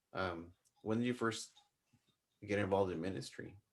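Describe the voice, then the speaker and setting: This is a man speaking with a Spanish accent. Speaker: podcast host. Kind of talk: casual chat.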